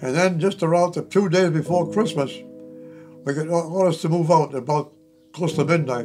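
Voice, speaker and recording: A man's high voice at a moderate pace, fairly even in intonation, with long, frequent pauses and clear music in the background. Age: 80s+. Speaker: war veteran. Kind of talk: testimony. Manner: halting. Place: home room.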